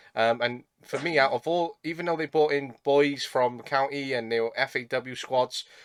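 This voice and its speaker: A man with a Welsh accent speaks in a fairly high voice at a moderate pace. He barely pauses, and his intonation stays fairly even. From South Wales. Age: 20s. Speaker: podcast host, football coach. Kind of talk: podcast interview.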